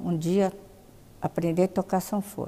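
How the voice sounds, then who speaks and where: A woman speaks at a medium pitch in a dark, mellow tone. Her pace is fairly slow and her pitch variation is ordinary. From Brazil, São Paulo. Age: 80s+. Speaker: interviewee. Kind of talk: life story interview. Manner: halting.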